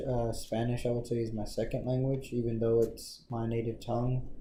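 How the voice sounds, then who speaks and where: With an American accent, a somewhat breathy man speaks at a medium pitch in a dark, mellow tone, with audible room echo. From Texas Panhandle, US. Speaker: interviewee. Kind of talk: interview. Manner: hesitant, many fillers.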